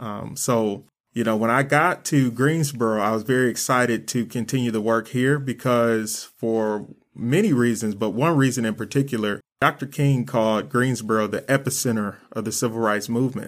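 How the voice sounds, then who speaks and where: With a plain, everyday voice, a man speaks in an American accent at a moderate pace and medium pitch with ordinary pitch variation, on a very clean recording with a silent background. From Flint, Michigan, US. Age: young. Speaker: youth development coordinator and nonprofit founder. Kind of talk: panel discussion.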